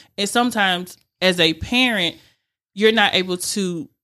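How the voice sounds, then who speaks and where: On a very clean recording with a silent background, a woman with a Southern US accent speaks in a bright, sharp tone with fairly even intonation. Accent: Southern American. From Rome, Georgia, US South. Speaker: youth mentoring nonprofit founder. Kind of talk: radio interview. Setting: studio.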